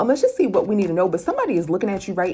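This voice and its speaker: A woman's medium-pitched voice against noticeable background noise. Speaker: tarot reader. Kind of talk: tarot reading for viewers. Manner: fast; casual, conversational.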